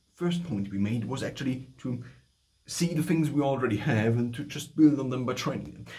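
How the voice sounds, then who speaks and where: At a moderate pace, a man speaks in a dark, mellow tone with vocal fry and ordinary pitch variation. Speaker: voice coach. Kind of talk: tutorial talk to camera. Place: home room. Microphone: phone near.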